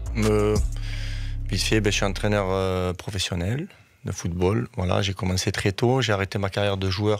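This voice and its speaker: With a southern French accent, a man talks at a moderate pace in a fairly low voice with fairly even intonation. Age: 40s. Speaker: football coach. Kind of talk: radio interview.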